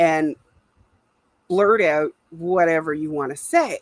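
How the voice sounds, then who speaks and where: This is a woman's voice. The sound is dry and close, with no echo. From Canada. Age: 60s. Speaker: livestream host. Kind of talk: casual livestream chat.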